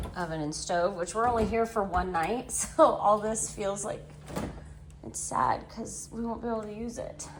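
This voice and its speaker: The voice moves at a moderate pace with ordinary pitch variation and big swings in loudness, with audible room echo. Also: woman, medium pitch for a woman. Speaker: vlogger. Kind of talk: casual vlog narration. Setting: vacation resort room. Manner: speaking quietly.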